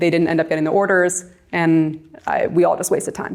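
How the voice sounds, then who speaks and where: A woman with an American accent, at a moderate pace. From New York. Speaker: real estate agent and coach. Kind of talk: presentation. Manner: loud; talkative.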